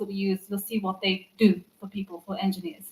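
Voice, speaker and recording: A somewhat breathy woman with an English accent. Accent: English-sounding (half English). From Turkey (Istanbul), half English. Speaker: developer advocate. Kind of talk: conference talk. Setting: stage with audience.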